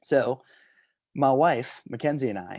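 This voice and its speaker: A man is speaking at a fairly slow pace. The background is quiet. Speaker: talk show host. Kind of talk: casual chat. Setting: home video stream. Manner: loud; animated.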